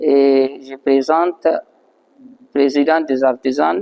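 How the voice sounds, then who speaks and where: A man with a non-native accent speaks at a very slow pace in a dark, mellow tone, fairly high in pitch, with ordinary pitch variation and a dry, close sound with no echo. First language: not French (speaking French). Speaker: master artisan, blacksmith. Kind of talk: interview testimony. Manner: halting.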